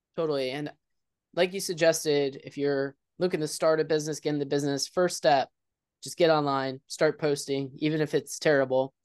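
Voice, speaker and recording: A normal speaking voice with fairly even intonation, heard over a quiet background. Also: man. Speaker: podcast host. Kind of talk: casual interview.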